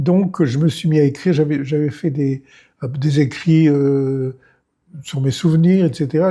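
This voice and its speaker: At a moderate pace, a man with a fairly high, somewhat breathy voice and a dark, mellow tone talks with ordinary pitch variation. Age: 90s. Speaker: retired film director and writer. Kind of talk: interview.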